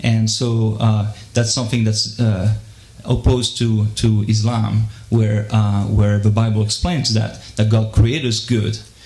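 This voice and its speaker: With music playing behind him, a man speaks at a fairly low pitch in a monotone, flat delivery. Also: fairly slow pace. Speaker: audience member asking a question. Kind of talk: audience Q&A. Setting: live debate with audience. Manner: halting, many fillers and repeats.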